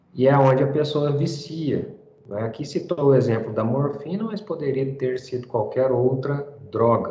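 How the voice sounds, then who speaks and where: A man's fairly high voice at a fairly slow pace, with ordinary pitch variation and audible room echo. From Brazil. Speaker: teacher. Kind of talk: lecture. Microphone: video call.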